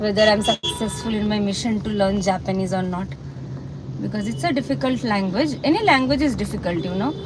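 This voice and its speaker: Speaking with a Bengali accent, a woman talks at a fairly quick pace in a medium pitch with very wide pitch swings. Audible room echo and noticeable background noise accompany her. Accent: Indian English, Bengali. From India, Kolkata, West Bengal. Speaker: banker and livestreamer. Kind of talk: casual live-stream chat. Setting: in a car, driving. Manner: hesitant, many fillers and repeats.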